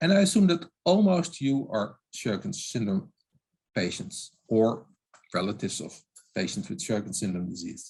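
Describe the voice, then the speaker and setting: A man at a moderate pace with a non-native accent, very wide pitch swings, and vocal fry. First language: not English. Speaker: oral health expert. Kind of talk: webinar lecture. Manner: halting.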